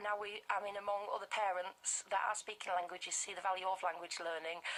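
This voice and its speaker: In a Yorkshire accent, a woman speaks at a moderate pace. Her medium-pitched voice stays monotone, with flat intonation. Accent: Bradford, Yorkshire. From northern England (Bradford, West Yorkshire). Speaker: language group founder for toddlers. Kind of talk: live radio interview. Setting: radio studio.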